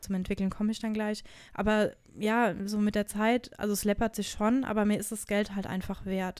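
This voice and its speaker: A woman's fairly high voice, flat and monotone, at a moderate pace on a very clean recording with a silent background. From Germany, Hesse (Wiesbaden). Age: 30s. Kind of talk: casual interview chat.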